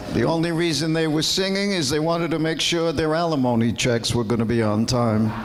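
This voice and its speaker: A man's fairly high, fairly quick voice with lively intonation, very even loudness and hardly any pauses, plus audible room echo and noticeable background noise. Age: 70s. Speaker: stand-up comedian. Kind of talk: stand-up. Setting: stage with audience.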